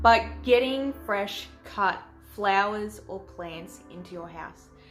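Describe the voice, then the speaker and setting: Music plays in the background as a woman speaks in an Australian accent. Her medium pitch has ordinary variation. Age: 20s. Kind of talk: casual talk to camera.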